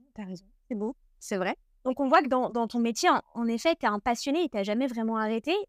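A plain, everyday voice from a woman, fairly high and lively in intonation, at a fairly quick pace, dry and close with no echo. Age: 30s. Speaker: podcast host. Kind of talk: interview; scripted narration.

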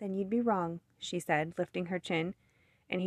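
The voice heard here is a natural reading voice.

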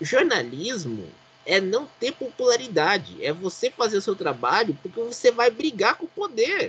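A man's extremely high pitch with very wide pitch swings at a moderate pace. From Brazil, Pindamonhangaba (São Paulo state). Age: 30s. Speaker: motorsport podcast host. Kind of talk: casual chat.

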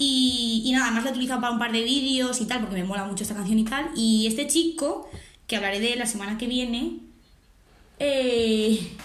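Talking at a fairly quick pace and a high pitch with ordinary variation, a woman is heard with audible room echo. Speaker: podcast co-host. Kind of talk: casual chat.

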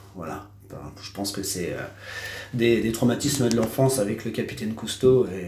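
A man with a medium pitch speaks at a moderate pace, with long, frequent pauses and big swings in loudness. Audible room echo and noticeable background noise fill the recording. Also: ordinary pitch variation. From Normandy, France (Cherbourg, Cotentin). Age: 30s. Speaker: tattoo artist. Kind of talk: casual interview. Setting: his tattoo studio. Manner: hesitant, many fillers.

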